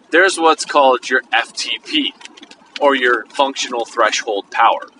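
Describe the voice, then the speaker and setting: Over noticeable background noise, a man talks at a fairly slow pace, the sound dry and close with no echo. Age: 40s. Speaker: podcast host. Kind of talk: casual monologue. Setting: in a car.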